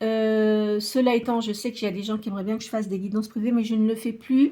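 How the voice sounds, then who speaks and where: Her voice sits fairly high and carries a dark, mellow tone. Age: 60s. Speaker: tarot reader and medium. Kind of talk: tarot reading monologue. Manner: hesitant, many filler sounds.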